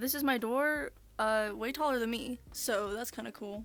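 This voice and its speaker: A woman's fairly high pitch with fairly even intonation, in an ordinary speaking voice. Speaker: content creator. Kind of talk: casual room tour talk to camera.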